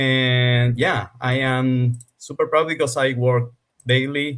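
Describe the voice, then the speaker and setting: A man with a Spanish accent at a medium pitch. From Argentina. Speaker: game developer. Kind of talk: interview. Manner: slow.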